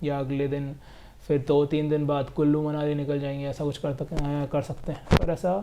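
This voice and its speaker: His voice has a dark, mellow tone. The man's pitch is fairly high. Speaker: travel vlogger. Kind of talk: casual vlog narration. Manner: monotone.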